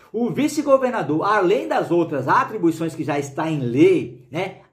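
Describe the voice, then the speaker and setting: Amid audible room echo, a man speaks at a moderate pace with very wide pitch swings. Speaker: law teacher for police exam prep. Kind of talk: video lecture. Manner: casual, animated.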